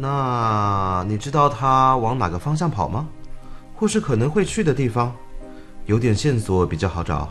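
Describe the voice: The passage is plain reading aloud. Nothing more is done with it.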